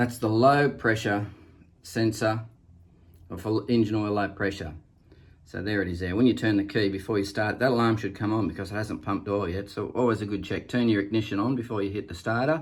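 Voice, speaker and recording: A somewhat breathy man with an Australian accent, fairly low in pitch, at a fairly quick pace. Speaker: boat owner showing engine. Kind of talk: tutorial. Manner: casual, halting with fillers.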